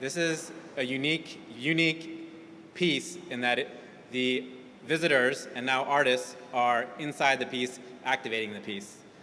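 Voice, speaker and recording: Noticeable background noise behind a man's medium-pitched voice, fairly slow in pace, with ordinary pitch variation. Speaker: museum education director. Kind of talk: event welcome speech.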